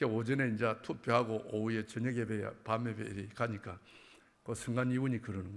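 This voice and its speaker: A man speaks with a Busan accent. His pace is fairly quick. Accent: Gyeongsang (Busan) dialect. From Busan, South Korea. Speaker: church elder giving testimony. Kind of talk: testimony. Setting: church. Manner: animated.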